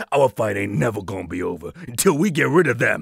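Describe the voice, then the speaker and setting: A man speaks in a put-on character voice. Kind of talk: videogame voice acting. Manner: furious, shouting, profane.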